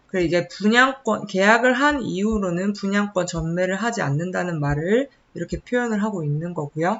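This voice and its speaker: Hardly any pauses break up speech delivered at a moderate pace. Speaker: real estate agent. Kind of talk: informational talk to camera.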